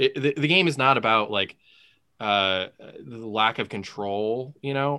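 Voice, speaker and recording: A man talks at a fairly slow pace and medium pitch. His is a normal speaking voice with lively intonation. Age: 30s. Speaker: podcast co-host. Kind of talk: casual chat.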